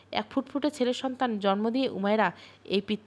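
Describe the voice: Just plain reading aloud, nothing more.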